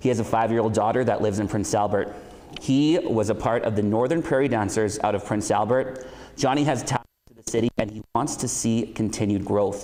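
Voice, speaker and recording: In a room with audible echo, a man talks at a medium pitch and a fairly quick pace. His pitch varies in an ordinary way, while his loudness swings widely. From Saskatchewan, Canada. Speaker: event host. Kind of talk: event introductions. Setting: school hall, socially distanced event.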